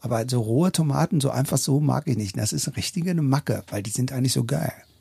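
The recording is dry and close with no echo. A man talks very fast at a medium pitch, with ordinary pitch variation. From northern Germany, Hannover and Braunschweig. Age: 50s. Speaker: drummer and drum teacher. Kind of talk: casual interview. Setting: garden house.

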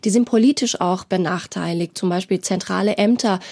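The woman's dark, mellow voice sits at a medium pitch with ordinary pitch variation, recorded very cleanly against a silent background with a dry, close sound and no echo. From Iran. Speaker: journalist. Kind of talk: studio interview. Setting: studio.

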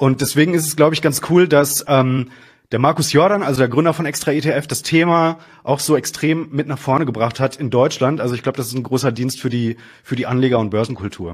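In a very clean recording with a silent background, a man talks at a fairly quick pace in a fairly high pitch with ordinary pitch variation. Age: 30s. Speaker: finance journalist and editor-in-chief. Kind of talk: casual interview about investing. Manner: hesitant, many fillers.

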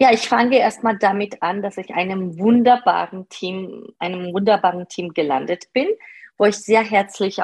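A woman's voice with ordinary pitch variation at a moderate pace, dry and close with no echo. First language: not German (speaking German). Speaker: part-time manager. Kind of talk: interview. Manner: hesitant, many fillers.

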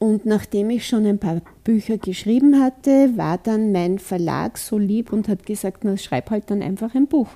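A woman with a fairly high pitch and a dark, mellow tone talks at a fairly slow pace, with ordinary pitch variation. She hardly pauses, and the sound is dry and close with no echo. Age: old. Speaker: author and kinesiologist. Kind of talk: interview.

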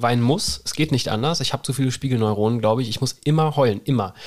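The speaker sounds animated, with ordinary pitch variation. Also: man. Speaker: naturopath (Heilpraktiker). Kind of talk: casual chat.

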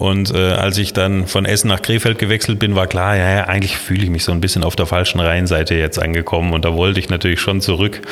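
A man speaks very fast in a very deep, low voice, flat and monotone at very even loudness. Noticeable background noise runs underneath. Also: hardly any pauses. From Baden-Württemberg, Kinzigtal (Baden). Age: 50s. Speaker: city planning official. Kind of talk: interview.

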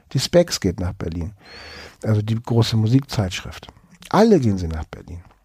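Dry and close with no echo, a man's somewhat breathy, dark, mellow voice sits fairly low in pitch, with big swings in loudness and long, frequent pauses. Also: moderate pace. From Hamburg, northern Germany. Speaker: cultural historian. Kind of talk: interview.

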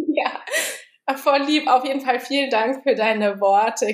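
A woman's high-pitched voice, fairly slow, with ordinary pitch variation. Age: 20s. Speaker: bookkeeping consultant. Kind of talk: casual interview.

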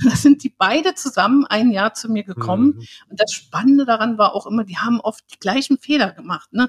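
A somewhat breathy voice at a fairly quick pace, with ordinary pitch variation and a dry, close sound with no echo. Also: woman, fairly high pitch for a woman. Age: 60s. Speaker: learning therapist. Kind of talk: interview. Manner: halting.

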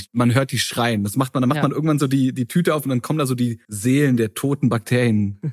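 A man talking very fast with hardly any pauses, medium-pitched with ordinary pitch variation, in a dry, close sound with no echo. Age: 30s. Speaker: internet creator guest. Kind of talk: casual chat.

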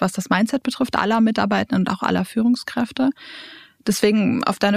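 A somewhat breathy woman's voice, fairly high in pitch, at a fairly quick pace. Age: 20s. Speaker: leadership trainer and coach. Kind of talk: interview. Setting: studio.

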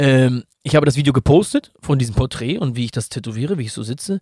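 A man speaks at a medium pitch. His voice is somewhat breathy, with a dark, mellow tone. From Hamburg, northern Germany. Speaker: tattoo artist and real estate entrepreneur. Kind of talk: casual chat.

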